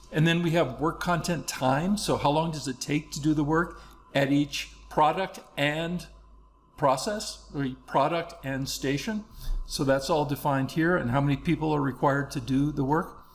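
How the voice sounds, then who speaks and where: A man speaks with a fairly high pitch and a somewhat breathy quality. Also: fairly even intonation. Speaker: software trainer. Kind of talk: tutorial. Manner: fast.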